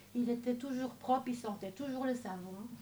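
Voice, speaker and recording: Over noticeable background noise, a woman speaks in a high pitch with fairly even intonation. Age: 60s. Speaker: church member giving testimony. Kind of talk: testimony.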